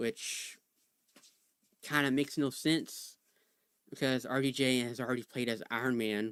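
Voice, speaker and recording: Speaking at a fairly slow pace with long, frequent pauses, a man uses a medium pitch and fairly even intonation. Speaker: livestream co-host. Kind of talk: casual chat. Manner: soft-spoken.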